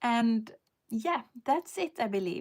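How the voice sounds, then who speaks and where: The speaker has a Swedish accent, captured in a very clean recording with a silent background. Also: woman. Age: 50s. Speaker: lifestyle vlogger. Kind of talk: live stream casual chat. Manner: halting, with many fillers.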